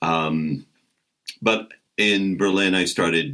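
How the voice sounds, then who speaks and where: A man with an American accent speaks in a booming voice with vocal fry. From American Midwest. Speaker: comedian and voice actor. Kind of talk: interview answer.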